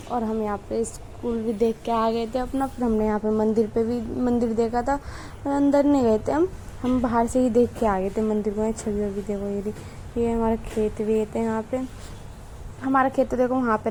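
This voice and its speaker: A woman's fairly high-pitched voice in a monotone, flat intonation, at a moderate pace. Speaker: vlogger. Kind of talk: vlog voiceover narration. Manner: casual, halting with self-corrections.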